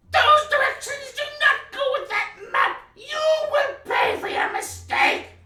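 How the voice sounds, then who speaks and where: A put-on character voice, shrill and extremely high in pitch, at a fairly slow pace with hardly any pauses and slight echo. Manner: menacing, angry.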